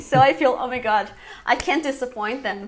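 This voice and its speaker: A woman is speaking. She has a Portuguese accent. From Brazil. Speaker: English teacher and YouTuber. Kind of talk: interview.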